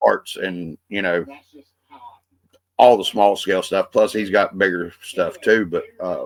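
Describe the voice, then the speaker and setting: Long pauses come often as this man speaks fairly slowly. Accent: Appalachian. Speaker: podcast host. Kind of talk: casual podcast conversation.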